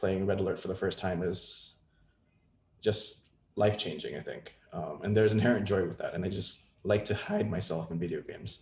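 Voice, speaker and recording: Somewhat breathy delivery at a fairly quick pace with fairly even intonation. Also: man, fairly low pitch for a man. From Indonesia. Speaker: game industry executive. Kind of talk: presentation.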